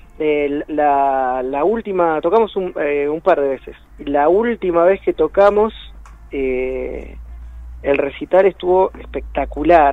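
At a fairly slow pace and fairly high pitch, a man speaks over noticeable background noise. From Buenos Aires, Argentina. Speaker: rock musician. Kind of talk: radio interview.

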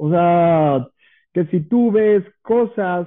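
The man's voice is high in pitch for a man, with ordinary pitch variation. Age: 30s. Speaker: chef and coffee shop owner. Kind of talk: casual interview.

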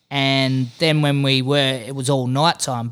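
Very slowly, a man talks with an Australian accent in a fairly high pitch and a bright, sharp tone. The recording is very clean, with a silent background. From Western Australia (Exmouth). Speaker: fishing podcast host. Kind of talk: casual chat.

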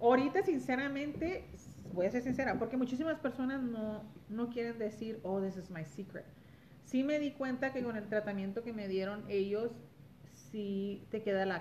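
A woman speaks slowly-ish, at a fairly slow pace, in a fairly high, somewhat breathy voice with lively intonation. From Los Angeles, California, Mexican-American. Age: 40s. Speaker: guest. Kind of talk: casual chat. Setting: at the host's home.

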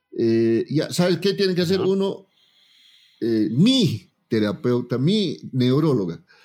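Pitch swings very widely while loudness stays very even. The tone is dark and mellow, and the pace is very slow. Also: man, fairly high pitch for a man. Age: 40s. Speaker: politician and TikToker. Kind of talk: casual chat. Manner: animated.

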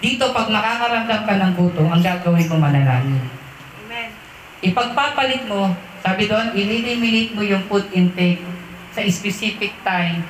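The speaker keeps a moderate pace over noticeable background noise. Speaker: preacher. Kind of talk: sermon. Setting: church. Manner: animated, preaching with call-and-response ("Amen?"); conversational, mixes Tagalog with English phrases.

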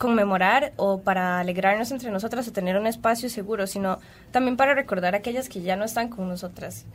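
A woman is talking in a fairly high pitch. Her pitch variation is ordinary. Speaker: radio host. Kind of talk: radio talk show. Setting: radio studio.

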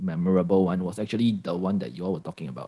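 Ordinary pitch variation marks a man's dark, mellow tone, heard in a Singaporean accent. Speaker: podcaster, former escape room operator. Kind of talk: casual interview chat.

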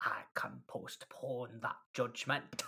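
Raspy, put-on character voice from a man, in a Scottish accent.

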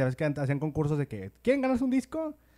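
In a very clean recording with a silent background, a man with a Mexican accent and a fairly high pitch talks very fast with lively intonation in a dark, mellow tone. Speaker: podcast host. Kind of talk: casual chat.

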